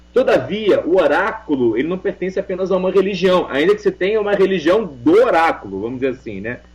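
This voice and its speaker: Over noticeable background noise, a man with a high pitch talks at a very fast pace with hardly any pauses. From Portugal. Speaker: religious leader and oracle practitioner (Umbanda / Ifá cult). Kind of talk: radio interview answer.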